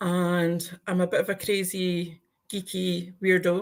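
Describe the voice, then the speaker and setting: This voice belongs to a woman. She speaks in an Aberdeenshire accent. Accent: Scottish (Aberdeenshire). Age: 50s. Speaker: YouTuber guest. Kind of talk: casual chat. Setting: live stream.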